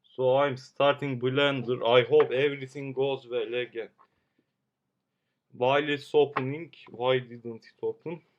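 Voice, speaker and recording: A man's flat, monotone delivery in a Turkish accent, at a fairly slow pace. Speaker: amateur 3D modeler streamer. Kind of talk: live stream tutorial. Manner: halting.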